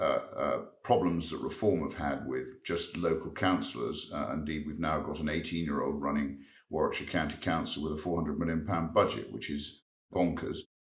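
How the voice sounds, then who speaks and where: His voice sits at a very deep, low pitch with vocal fry. The man shows ordinary pitch variation. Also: moderate pace. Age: 60s. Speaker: member of parliament. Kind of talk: interview. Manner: halting, repeats words.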